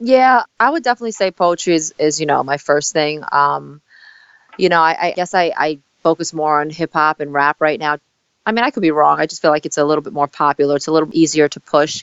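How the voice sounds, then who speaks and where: This woman's voice is very deep and low, with an American accent. She moves at a fairly quick pace with ordinary pitch variation. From Staten Island, New York. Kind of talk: interview. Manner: fast.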